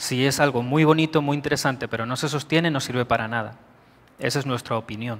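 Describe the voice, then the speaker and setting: Very fast speech from a man with a Spanish accent, his intonation fairly even. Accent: Peninsular Spanish. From Spain. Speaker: IT director. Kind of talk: conference talk. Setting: stage with audience. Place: hall.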